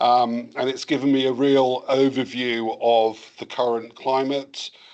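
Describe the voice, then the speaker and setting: Over a quiet background, a man with a slight English accent speaks at a medium pitch in a monotone, flat intonation. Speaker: cybersecurity vendor presenter. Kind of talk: webinar presentation. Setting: webinar.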